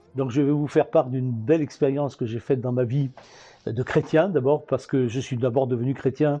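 Against a quiet background, a man talks at a medium pitch in a dark, mellow tone with ordinary pitch variation. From southern France, Antibes. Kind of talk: personal testimony. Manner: hesitant, with fillers.

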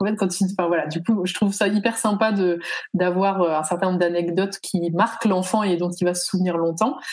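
The speaker's somewhat breathy voice moves at a fairly quick pace with fairly even intonation. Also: woman, medium pitch for a woman. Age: 30s. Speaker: founder of children's educational kits. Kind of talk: casual interview.

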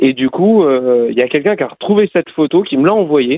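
Here a man talks in an unremarkable speaking voice at a moderate pace. His pitch is fairly high, with ordinary variation. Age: 30s. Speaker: cycling race announcer. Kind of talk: interview.

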